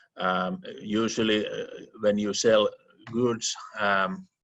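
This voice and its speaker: The man talks very slowly, his voice pitched fairly low. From Finland. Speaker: attorney and law professor. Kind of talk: interview. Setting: remote call. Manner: halting, many repetitions and fillers.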